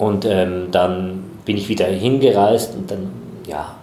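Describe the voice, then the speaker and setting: There is audible room echo and noticeable background noise. Over it, a man talks with ordinary pitch variation. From Switzerland, Chur (Graubünden). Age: 40s. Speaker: theatre festival director. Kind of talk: interview.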